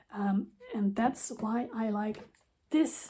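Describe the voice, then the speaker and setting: A woman talks with a non-native accent. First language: not English. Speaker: craft designer. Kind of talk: tutorial. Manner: casual.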